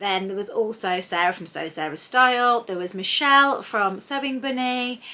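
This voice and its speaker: Speaking at a moderate pace, a woman with an English accent uses lively intonation. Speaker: sewing vlogger. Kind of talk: casual vlog chat. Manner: loud.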